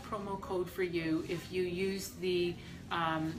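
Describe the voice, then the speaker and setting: A woman speaks at a very slow pace with a medium pitch. Music plays behind her, and room echo is audible. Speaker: estate planning lawyer. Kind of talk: live stream talk to viewers. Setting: hospital. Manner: loud.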